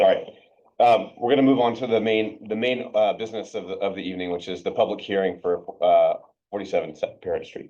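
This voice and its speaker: A man talks at a fairly quick pace. His voice is quiet. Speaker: planning board chair. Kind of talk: public meeting. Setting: village hall meeting room. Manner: too quiet; halting, many fillers.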